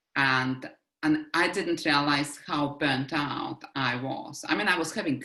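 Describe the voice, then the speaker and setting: The tone is bright and sharp. A strong Russian accent runs through the speech. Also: woman. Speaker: life coach. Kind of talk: interview conversation.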